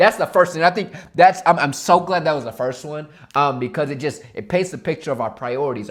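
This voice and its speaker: Speaking at a very fast pace, a man with a fairly high pitch uses lively intonation and an animated tone. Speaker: motivational youtuber. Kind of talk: motivational talk to camera. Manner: animated, with fillers and repetitions.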